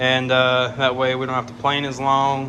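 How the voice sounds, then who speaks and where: With a Southern US accent, a man speaks at a moderate pace amid noticeable background noise and audible room echo. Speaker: woodworking YouTuber. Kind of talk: tutorial. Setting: workshop. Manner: casual.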